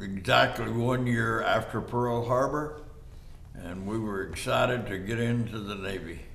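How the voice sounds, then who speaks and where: Noticeable background noise and audible room echo surround a man with a West Texas accent. He talks at a fairly slow pace with a medium pitch and ordinary pitch variation. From Texas, Haskell and the Panhandle. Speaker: war veteran. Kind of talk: oral history interview. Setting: studio. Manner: halting.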